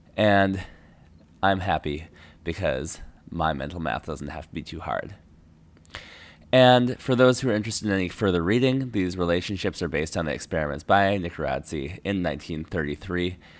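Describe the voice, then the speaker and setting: The speaker has an American accent and lively intonation. The pace is fairly quick. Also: man, very deep, low pitch for a man. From United States. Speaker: geology lecturer. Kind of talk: lecture. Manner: casual, with fillers and self-corrections.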